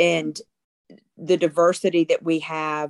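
Recorded dry and close with no echo, a woman speaks in a fairly low voice. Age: 50s. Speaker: middle school teacher. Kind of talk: casual chat. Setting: video call. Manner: loud.

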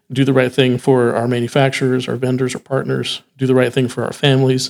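A normal speaking voice from a man with an American accent, medium pitch, fairly even intonation and a moderate pace. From Texas. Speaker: music retail sales director. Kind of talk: casual interview chat. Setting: on location at a trade event.

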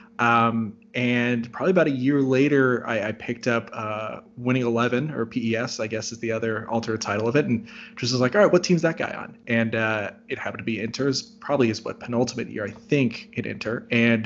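A man's ordinary speaking voice at a fairly quick pace, with fairly even intonation and hardly any pauses. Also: medium pitch for a man. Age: 30s. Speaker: sports journalist. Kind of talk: casual chat.

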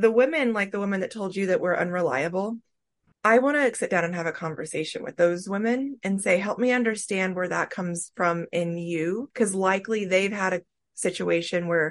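At a moderate pace against a quiet background, a woman talks in a normal speaking voice with a medium pitch and ordinary pitch variation. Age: 40s. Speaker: life coach and podcast host. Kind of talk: casual interview chat.

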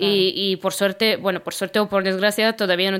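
This woman's medium-pitched voice moves at a fairly quick pace with monotone, flat intonation. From Romania, Constanța. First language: Romanian (speaking Spanish). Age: 30s. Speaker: podcast co-host, cleaning worker. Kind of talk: casual chat. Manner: hesitant, many fillers.

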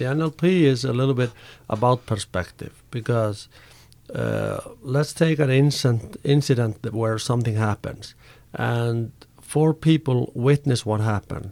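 A man with an Icelandic accent, medium pitch and a dark, mellow tone, at a moderate pace with ordinary pitch variation, on a very clean recording with a silent background. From Iceland, Reykjavik. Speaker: karate coach and personal trainer. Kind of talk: interview. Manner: halting.

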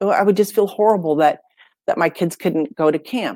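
In an unremarkable speaking voice with an American accent, a woman at medium pitch talks at a moderate pace with lively intonation, the sound dry and close with no echo. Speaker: business and personal branding coach. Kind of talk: casual interview chat.

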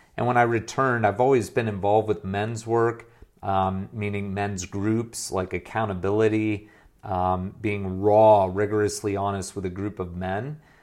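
A man with an American accent speaks at a moderate pace in an unremarkable speaking voice. His pitch is fairly low and his intonation fairly even, on a very clean recording with a silent background. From US, moved between states. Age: 40s. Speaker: former pastor turned business coach. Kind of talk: interview conversation.

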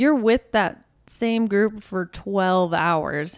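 On a very clean recording with a silent background, a woman speaks in a normal speaking voice at a medium pitch with ordinary pitch variation. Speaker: nurse. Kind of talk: casual chat.

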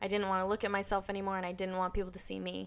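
A woman speaks at a medium pitch with an American accent. The recording is very clean, with a silent background. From US Northeast (northern New Hampshire). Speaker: YouTuber. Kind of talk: casual chat. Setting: podcast interview.

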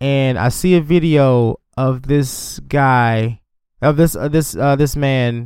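Fairly high pitch from a man, with ordinary pitch variation. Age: 30s. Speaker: podcast host. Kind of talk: casual chat.

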